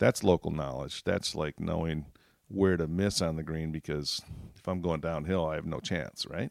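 Using fairly even intonation and a moderate pace, a man with an American accent speaks in a very deep, low voice, the sound dry and close with no echo. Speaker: golf course architect. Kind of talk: casual interview.

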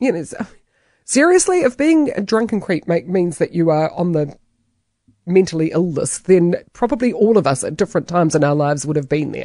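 In a quiet background, a woman with a New Zealand accent speaks at a fairly quick pace with lively intonation and a dark, mellow tone at a fairly low pitch. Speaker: talk radio host. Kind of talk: radio commentary.

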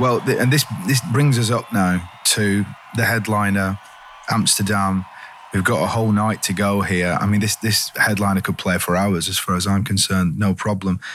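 Over noticeable background noise, a man speaks at a moderate pace and fairly low pitch, with very even loudness and fairly even intonation. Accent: English. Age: 50s. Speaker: podcast host. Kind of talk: casual interview chat.

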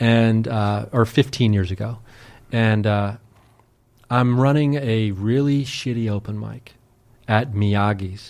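A man's medium-pitched voice with an American accent, fairly even intonation, a very slow pace, and long, frequent pauses on a very clean recording with a silent background. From US Midwest, Ohio. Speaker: podcaster and paranormal investigator. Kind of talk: casual chat.

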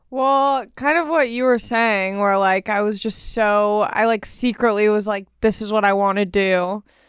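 On a very clean recording with a silent background, a woman speaks at a fairly high pitch and a fairly slow pace with hardly any pauses, very even loudness and ordinary pitch variation. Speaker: stand-up comedian. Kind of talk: casual chat. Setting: studio.

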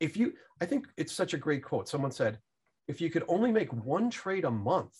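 A fairly high-pitched man's voice with vocal fry and very wide pitch swings. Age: 50s. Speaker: fund manager and stock investor. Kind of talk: interview.

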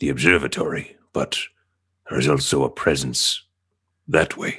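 Put-on character voice from a man, very deep and low. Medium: actual play. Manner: formal, precise, no contractions.

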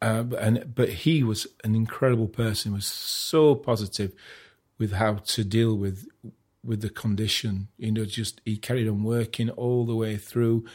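In a very clean recording with a silent background, a man of medium pitch talks at a moderate pace with fairly even intonation. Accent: Sheffield. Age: 50s. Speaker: artist. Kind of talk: casual chat. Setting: at home.

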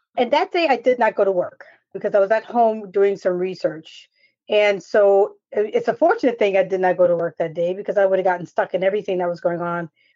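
A woman with a plain, everyday voice talks at a fairly quick pace and medium pitch, with ordinary pitch variation. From New York. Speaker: national security expert. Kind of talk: casual chat.

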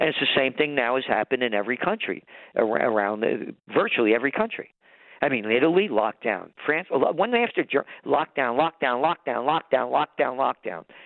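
A man with a New York accent sounds animated, his medium-pitched voice carrying lively intonation. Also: moderate pace. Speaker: trends forecaster and publisher. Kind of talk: interview.

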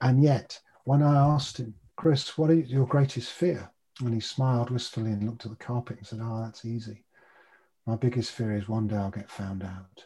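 Somewhat breathy male voice with a dark, mellow tone, ordinary pitch variation and big swings in loudness, on a very clean recording with a silent background. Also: medium pitch for a man, moderate pace. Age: 60s. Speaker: behavioural change coach and meditation teacher. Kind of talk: casual interview chat.

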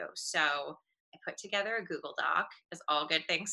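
At a moderate pace, a woman speaks at a fairly low pitch in an ordinary speaking voice. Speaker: beauty brand founder. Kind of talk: interview.

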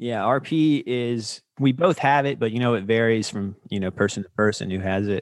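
A man at a medium pitch with an American accent, moderate pace and ordinary pitch variation, on a very clean recording with a silent background. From US South, North Carolina. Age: 30s. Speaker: filmmaker and podcast host. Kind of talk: casual interview.

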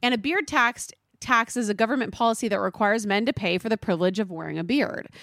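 This woman speaks very fast with a Californian accent, her pitch fairly high. The recording is very clean with a silent background, and the sound is dry and close with no echo. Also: ordinary pitch variation. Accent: US West Coast, valley girl. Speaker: podcast host. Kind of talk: casual chat.

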